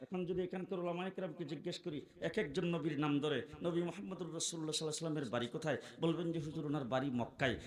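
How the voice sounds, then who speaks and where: Noticeable background noise and audible room echo surround the recording. A man speaks at a high pitch with ordinary pitch variation. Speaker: Islamic preacher. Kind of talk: sermon. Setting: stage with audience. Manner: animated.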